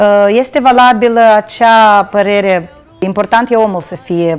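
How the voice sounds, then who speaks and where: A woman talks fairly slowly, her pitch varying in an ordinary way. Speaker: guest. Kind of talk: interview answer. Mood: cheerful, nostalgic. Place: studio. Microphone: lapel.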